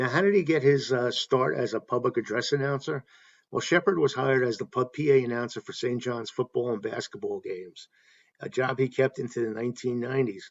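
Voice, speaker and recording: A man's normal speaking voice at medium pitch, with ordinary pitch variation and a fairly quick pace. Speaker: baseball fan YouTube host. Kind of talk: casual talk to camera, informal video essay.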